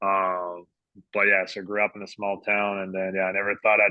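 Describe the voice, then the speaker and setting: Talking very fast, a man with a fairly low pitch speaks with a slight French Canadian accent. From Quebec, Canada. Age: 30s. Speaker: sports dietitian. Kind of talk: podcast interview.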